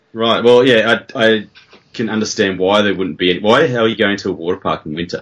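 With an Australian accent, a man speaks at a very fast pace in a fairly low pitch. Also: ordinary pitch variation. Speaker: podcaster, writer. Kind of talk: casual chat, podcast.

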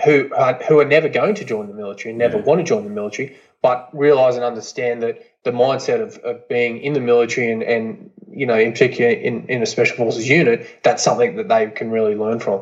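A man talks very fast with an Australian accent. His pitch is medium, with ordinary pitch variation. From Queensland, Australia. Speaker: former commando soldier. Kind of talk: casual chat.

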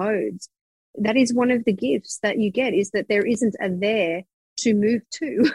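At a moderate pace, a woman with a somewhat breathy, energetic voice speaks at medium pitch with ordinary pitch variation, the sound dry and close with no echo. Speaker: psychic business mentor. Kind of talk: interview conversation.

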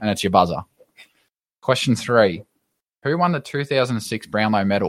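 A man with lively intonation and a fairly low pitch at a moderate pace, in a dry, close sound with no echo. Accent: Australian. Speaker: podcast co-host. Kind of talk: casual chat; quiz hosting.

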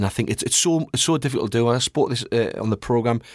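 On a very clean recording with a silent background, a man mumbles at a very fast pace in a northeast English accent. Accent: northeast English (Geordie-type). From northeast England. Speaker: goalkeeping pundit, ex-goalkeeper. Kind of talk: casual chat. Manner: fast talker, mumbles a bit.

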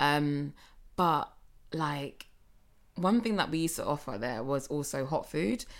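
A woman with a London accent and a very deep, low pitch speaks at a fairly slow pace with lively intonation and long, frequent pauses, in a very clean recording with a silent background. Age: 30s. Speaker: podcast co-host. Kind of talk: casual chat.

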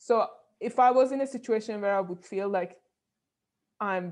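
Against a quiet background, a woman speaks with a Persian accent. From Iran (Tehran). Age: 30s. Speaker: neuroscientist and bioengineer. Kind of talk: interview.

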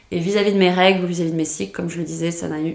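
A woman's fairly low voice with fairly even intonation and audible room echo. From France. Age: 20s. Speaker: podcast guest sharing sterilization experience. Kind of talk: testimony. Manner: hesitant, many fillers and repetitions.

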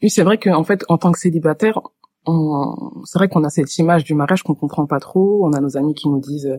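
With a dry, close sound and no echo, a woman's fairly low voice carries a dark, mellow tone and ordinary pitch variation. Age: 30s. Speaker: HR worker and marriage-help volunteer. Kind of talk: casual chat. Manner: hesitant with fillers.

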